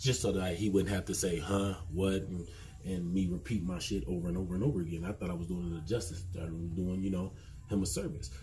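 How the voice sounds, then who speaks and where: With audible room echo, a man at very deep, low pitch and a dark, mellow tone speaks at a very fast pace with ordinary pitch variation. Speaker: podcast host. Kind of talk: casual monologue. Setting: garage. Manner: loud.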